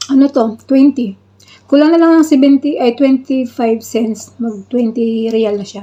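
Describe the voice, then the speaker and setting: At a fairly slow pace, a woman speaks in a high-pitched voice. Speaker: vlogger. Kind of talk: casual vlog. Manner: halting.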